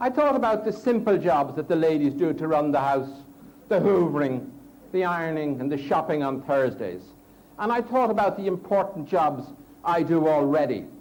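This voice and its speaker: Speaking at a moderate pace, a man with an Irish accent uses a high voice with very wide pitch swings. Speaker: Toastmasters speaker. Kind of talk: humorous contest speech.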